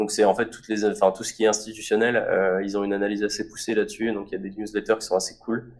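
Speaking very fast in a flat monotone, a man's fairly low voice shows big swings in loudness. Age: 20s. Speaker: startup founder. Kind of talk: interview.

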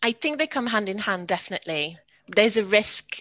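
Over a quiet background, a woman speaks at a moderate pace with a bright, sharp tone in a dry, close sound with no echo. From France. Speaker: co-production network representative. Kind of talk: podcast interview.

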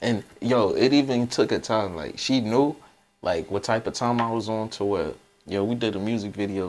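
A man has an unremarkable speaking voice, a fairly low pitch and ordinary pitch variation. He talks at a moderate pace in a very clean recording with a silent background. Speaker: podcast host and DJ. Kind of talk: casual chat.

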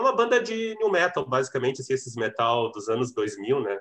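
A man with an ordinary speaking voice, a moderate pace and lively intonation. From Rio Grande do Sul interior, Cachoeira do Sul. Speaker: drummer and music teacher. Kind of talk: casual interview chat.

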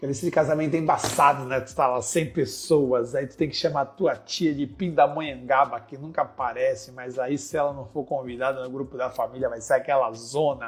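An animated man at a moderate pace, fairly high-pitched and somewhat breathy, hardly pausing, his loudness swinging widely. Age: 40s. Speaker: business consultant and podcast host. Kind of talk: informal lecture.

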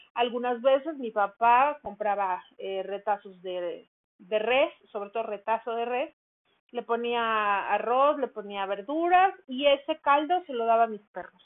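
The speaker's intonation is lively, and the loudness swings widely. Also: woman, fairly high pitch for a woman, fairly slow pace. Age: 50s. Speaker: dog care podcaster, runs a dog daycare. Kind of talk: casual monologue. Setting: at home.

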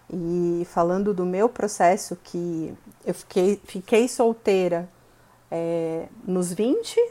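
A woman's medium-pitched voice has a dark, mellow tone and ordinary pitch variation. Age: 30s. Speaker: marketing professional. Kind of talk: casual interview.

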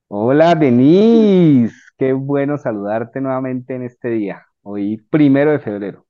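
Lively in intonation, a man talks at a fairly slow pace and a medium pitch. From Colombia. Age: 40s. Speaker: civil engineer and personal development coach. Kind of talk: casual interview chat. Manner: halting.

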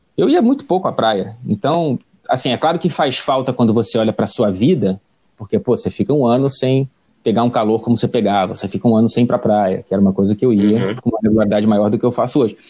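Speaking at a very fast pace, a man uses a medium pitch. His tone is dark and mellow. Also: ordinary pitch variation, very even loudness. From Brazil, Rio de Janeiro (Tijuca). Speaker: sports reporter and correspondent. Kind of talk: interview conversation. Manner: hesitant, frequent repetitions.

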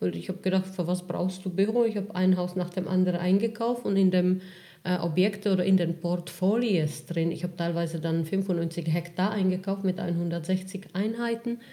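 At a moderate pace, a woman with a dark, mellow, somewhat breathy tone speaks at a medium pitch with fairly even intonation. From Czech Republic. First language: Czech (speaking German). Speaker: real estate investor. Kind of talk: interview.

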